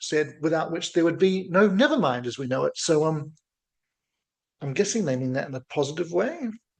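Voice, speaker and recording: This man has a fairly high pitch and ordinary pitch variation. He talks at a moderate pace with a slight New Zealand accent. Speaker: music reaction youtuber. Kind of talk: casual reaction video commentary. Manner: playful, jokey.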